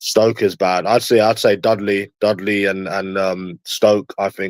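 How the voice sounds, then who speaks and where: In a Cockney accent, a man speaks fairly slowly at a fairly low pitch with monotone, flat intonation, the sound dry and close with no echo on a very clean recording with a silent background. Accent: London Cockney. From London. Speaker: livestreamer. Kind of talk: casual chat.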